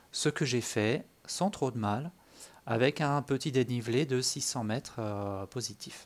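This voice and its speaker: A man speaks at a medium pitch and a very slow pace, with ordinary pitch variation. The recording is very clean, with a silent background. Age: 40s. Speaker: amateur runner podcaster. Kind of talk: solo monologue podcast. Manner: hesitant, many fillers.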